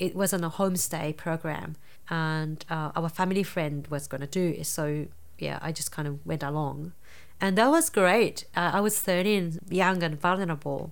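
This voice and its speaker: A woman speaks with a Japanese accent at a fairly low pitch. Her pace is moderate and her intonation fairly even. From Japan, rural Nara. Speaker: dance psychotherapist. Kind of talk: interview. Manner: halting.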